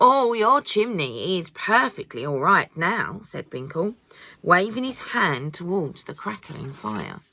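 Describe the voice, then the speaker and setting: A woman with a medium-pitched, bright, sharp voice and vocal fry speaks at a very slow pace, with very wide pitch swings and big swings in loudness. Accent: British. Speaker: mother. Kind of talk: children's audiobook reading.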